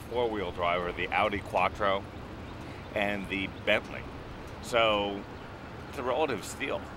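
A man's fairly low voice at a moderate pace with ordinary pitch variation, dry and echo-free, over noticeable background noise. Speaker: car reviewer. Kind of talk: review commentary. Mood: jokey, upbeat. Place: car.

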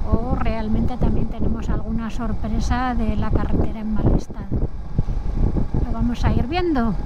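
Loud background noise surrounds a woman's voice, while the sound itself is dry with no echo. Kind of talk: casual vlog chat. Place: motorbike.

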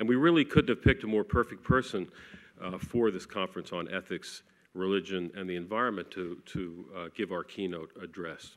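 A man speaks at a moderate pace in a very deep, low voice, with ordinary pitch variation and big swings in loudness. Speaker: event organizer. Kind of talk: formal introduction. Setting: stage with audience. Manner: hesitant, many fillers. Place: hall. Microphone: podium.

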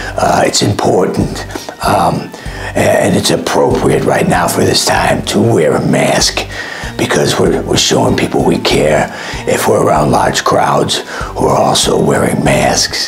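With clear music in the background, a man does a hoarse, put-on character voice at a fairly slow pace. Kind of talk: comic parody of press briefing. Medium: comedy sketch. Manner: rambling, repetitive, hesitant.

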